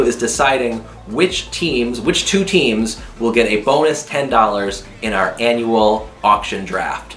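There is audible room echo along with faint background music. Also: man. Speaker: youtube vlogger. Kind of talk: casual vlog chat. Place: home room.

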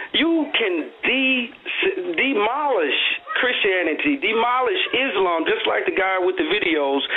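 A man speaks at an extremely high pitch with very wide pitch swings. He goes at a fairly slow pace over light background noise. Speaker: caller. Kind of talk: caller opinion. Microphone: phone line.

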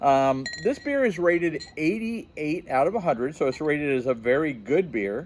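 A man speaks with very wide pitch swings. Light background noise sits behind him. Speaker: beer reviewer. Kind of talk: casual review vlog. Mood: upbeat, curious. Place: garden.

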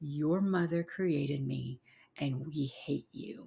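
A woman's slow, low-pitched put-on character voice, dark and mellow in tone with a husky, rough edge, vocal fry and ordinary pitch variation

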